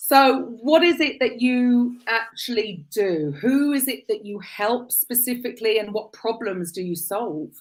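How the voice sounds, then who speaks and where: A woman with a British accent, lively intonation, a fairly slow pace and hardly any pauses. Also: fairly high pitch for a woman. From UK. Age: 50s. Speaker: podcast host. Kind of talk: interview chat.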